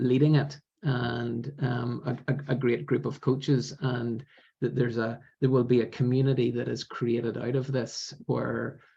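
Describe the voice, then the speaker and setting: A man talks at a fairly slow pace with a medium pitch and vocal fry. His intonation is monotone and flat. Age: 50s. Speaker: business coach. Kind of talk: interview answer.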